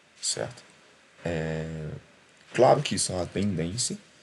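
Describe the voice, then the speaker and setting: The man's voice sits very deep and low in pitch. Audible room echo surrounds it. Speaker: chemistry tutor. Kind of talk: lecture. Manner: conversational, with fillers.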